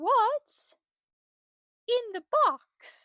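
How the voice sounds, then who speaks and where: In a cartoonish character voice, a woman talks at an extremely high pitch with very wide pitch swings. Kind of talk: children's educational puppet show. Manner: upbeat, playful.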